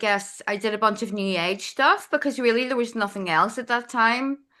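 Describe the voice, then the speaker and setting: A woman with a Northern Irish accent speaks at a fairly high pitch in a bright, sharp tone. Her intonation stays fairly even against a quiet background. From Northern Ireland. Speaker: astrologer. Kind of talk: podcast interview. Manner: casual, with frequent fillers.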